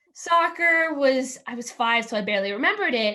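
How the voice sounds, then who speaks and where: Loud and bright, a woman speaks with a sharp tone at a moderate pace and ordinary pitch variation. The background is quiet. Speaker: student athlete, volleyball player. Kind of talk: casual panel answer. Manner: energetic.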